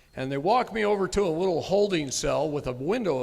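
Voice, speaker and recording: With an American accent and lively intonation, a man talks at a fairly quick pace over noticeable background noise. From Texas. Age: 50s. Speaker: sovereign citizen movement speaker. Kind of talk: live seminar talk with storytelling.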